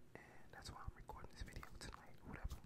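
A man is speaking. He whispers throughout. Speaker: ASMR creator. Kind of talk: ASMR ramble. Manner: whispered, soft-spoken. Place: home room. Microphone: studio mic.

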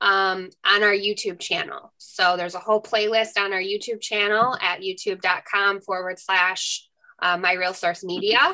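Over a quiet background, a woman speaks at a moderate pace with hardly any pauses, her bright, sharp tone set in monotone, flat intonation. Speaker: webinar co-host. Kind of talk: housekeeping announcements. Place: home room. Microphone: video call.

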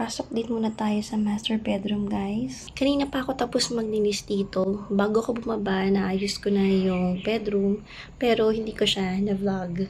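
The voice is somewhat breathy, moving at a moderate pace with fairly even intonation and hardly any pauses. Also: woman, medium pitch for a woman. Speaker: vlogger. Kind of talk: casual vlog talk to camera. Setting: at home.

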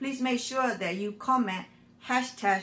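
Her intonation fairly even, the woman talks at a moderate pace. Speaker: frugal living channel host. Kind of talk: casual vlog chat. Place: kitchen. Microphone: phone near.

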